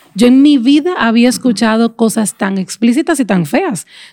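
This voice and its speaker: Her voice is fairly high in pitch for a woman, somewhat breathy, with a dark, mellow tone. She speaks at a moderate pace with lively intonation. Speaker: podcast host. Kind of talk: casual chat.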